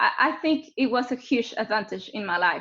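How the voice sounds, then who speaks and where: A woman speaks at a high pitch and moderate pace in a Mexican accent. Her intonation is lively, and the background is quiet. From Mexico City. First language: Spanish. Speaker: geophysicist. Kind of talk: webinar presentation. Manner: halting.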